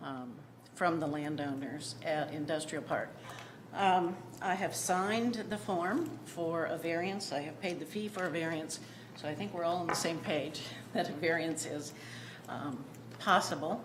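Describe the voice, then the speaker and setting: Here a woman speaks at a fairly slow pace with a fairly low pitch and ordinary pitch variation. Room echo is audible. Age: 60s. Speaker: property owner requesting variance. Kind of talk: public meeting testimony. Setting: city planning commission meeting. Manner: hesitant, many ums.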